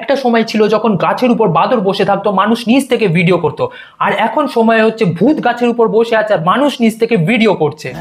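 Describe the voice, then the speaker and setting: Over noticeable background noise, a man speaks at a high pitch with ordinary pitch variation and very even loudness. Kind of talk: comedic roast commentary. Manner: sarcastic, joking.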